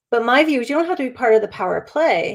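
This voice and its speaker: On a very clean recording with a silent background, a woman speaks at a fairly quick pace with a fairly high pitch and ordinary pitch variation. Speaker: spiritual life coach. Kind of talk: live stream talk. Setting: live stream. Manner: fast.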